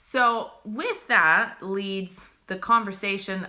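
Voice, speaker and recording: Her tone bright and sharp, a woman talks in an animated way. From Italy. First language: Italian. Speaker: spiritual livestream host. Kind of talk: live stream chat. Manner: casual, animated.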